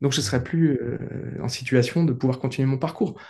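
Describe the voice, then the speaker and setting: Vocal fry runs through a man's dark, mellow voice as he speaks at a medium pitch and a fairly quick pace. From rural France. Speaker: coach and trek organizer. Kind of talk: interview. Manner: hesitant, many fillers and repetitions.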